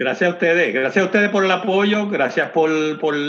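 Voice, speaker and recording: The man here speaks with a high pitch. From Puerto Rico, Comerío. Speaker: distillery owner. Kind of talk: interview. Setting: phone call. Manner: halting, many repeated words.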